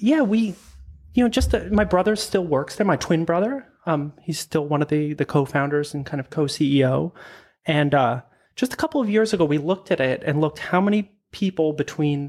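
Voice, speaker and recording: In a Canadian accent, a man with a plain, everyday voice talks at a moderate pace and a fairly high pitch with ordinary pitch variation, on a very clean recording with a silent background. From Prince Edward Island, Canada. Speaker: product designer. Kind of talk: interview.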